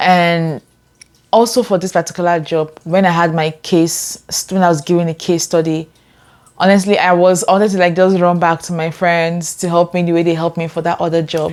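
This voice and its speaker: Fairly quick in pace, a woman talks at a fairly low pitch with monotone, flat intonation. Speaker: lifestyle vlogger. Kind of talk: personal story to camera.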